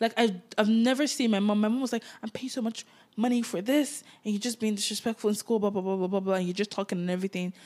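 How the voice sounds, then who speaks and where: A woman's fairly high voice at a very fast pace, with fairly even intonation. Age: 20s. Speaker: podcast co-host. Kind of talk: casual chat.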